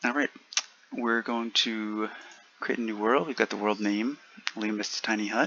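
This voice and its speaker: A quiet man with fairly even intonation and long, frequent pauses, over noticeable background noise. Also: fairly low pitch for a man, moderate pace. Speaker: gaming video creator. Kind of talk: gameplay commentary. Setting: at home, roommate nearby. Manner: quiet, subdued; hesitant, many fillers.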